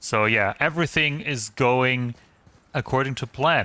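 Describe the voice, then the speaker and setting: With a German accent, a man speaks very slowly at a medium pitch in a bright, sharp tone, with a dry, close sound with no echo on a very clean recording with a silent background. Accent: German accent, noticeable. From eastern Germany. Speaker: gaming streamer. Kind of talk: casual live-stream chat. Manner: hesitant, many fillers.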